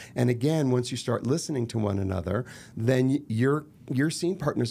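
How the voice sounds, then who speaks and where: With an American accent, this voice has a dark, mellow tone, very even loudness, ordinary pitch variation and a fairly quick pace. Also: man. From Los Angeles, US. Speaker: actor and murder mystery entrepreneur. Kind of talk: podcast interview.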